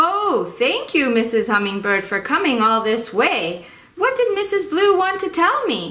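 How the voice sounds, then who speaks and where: Someone uses a put-on character voice, high-pitched with very wide pitch swings, at a moderate pace. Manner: excited.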